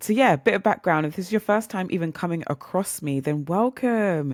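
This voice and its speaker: A woman with a British accent talks at a fairly quick pace. Her intonation is lively, and the recording is very clean with a silent background. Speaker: podcast host. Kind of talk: casual monologue. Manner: chatty, animated.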